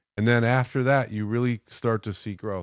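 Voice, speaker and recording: A plain, everyday voice from a man, moderate in pace with ordinary pitch variation. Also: quiet background. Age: 60s. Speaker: financial services CEO. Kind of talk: casual chat. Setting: studio.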